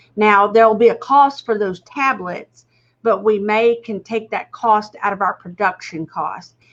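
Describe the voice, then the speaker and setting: This woman has an ordinary speaking voice with fairly high pitch. She talks at a moderate pace with fairly even intonation. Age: 60s. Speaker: executive producer. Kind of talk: casual chat.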